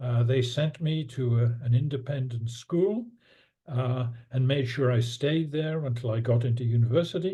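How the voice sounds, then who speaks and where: The voice is somewhat breathy, with ordinary pitch variation and a moderate pace. Room echo is audible. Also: man, medium pitch for a man. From northern England, Newcastle upon Tyne. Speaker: economics professor. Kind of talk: interview.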